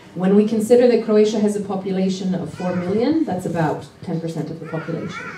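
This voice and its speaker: Very fast speech in a Canadian accent with hardly any pauses, ordinary pitch variation, big swings in loudness, audible room echo and noticeable background noise. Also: woman, medium pitch for a woman. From Canada. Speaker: parenting activist and conference speaker. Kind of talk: conference talk. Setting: stage with audience.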